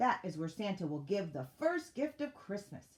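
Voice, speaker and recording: The speaker uses a put-on character voice at a moderate pace, with very wide pitch swings. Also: woman, medium pitch for a woman. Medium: read story. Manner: formal, announcing.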